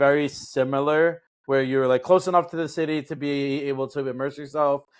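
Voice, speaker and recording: The pace is fairly quick and the intonation fairly even. The recording is very clean, with a silent background. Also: man. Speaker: podcast host. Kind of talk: casual interview chat. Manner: hesitant with many fillers.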